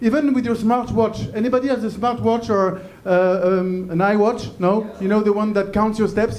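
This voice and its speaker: A man with a French accent and a high pitch speaks at a moderate pace with fairly even intonation and hardly any pauses, amid audible room echo and noticeable background noise. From France. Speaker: comedian. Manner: halting.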